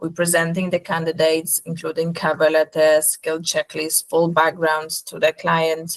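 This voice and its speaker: A woman's fairly low voice with a Polish accent, at a moderate pace, with a dry, close sound and no echo. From Poland. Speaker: nurse recruitment company representative. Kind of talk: webinar presentation.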